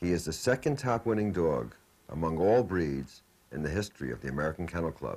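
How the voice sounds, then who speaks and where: A man's very deep, low voice with vocal fry and very wide pitch swings. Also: fairly quick pace. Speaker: announcer. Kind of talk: scripted narration.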